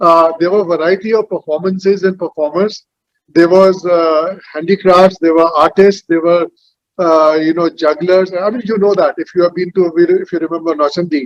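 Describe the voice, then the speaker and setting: At a moderate pace, a man speaks in a high pitch with fairly even intonation, the sound dry and close with no echo. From India, Uttar Pradesh (Meerut). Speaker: panel moderator. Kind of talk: panel discussion.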